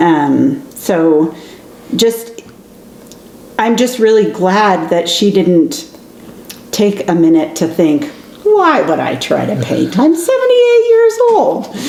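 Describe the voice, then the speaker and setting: A woman speaks very slowly with long, frequent pauses, while noticeable background noise and audible room echo surround her. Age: 50s. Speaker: podcast co-host, aspiring writer. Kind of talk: casual chat.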